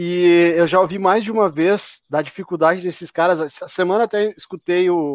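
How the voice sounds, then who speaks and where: The sound is dry and close with no echo as a man speaks at a high pitch. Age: 40s. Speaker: podcast host. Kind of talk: live-streamed casual chat. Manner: animated.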